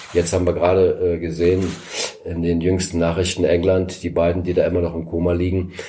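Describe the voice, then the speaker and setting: This man's voice is very deep and low in pitch. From East Berlin, Germany. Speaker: former political prisoner and escape helper. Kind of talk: interview testimony.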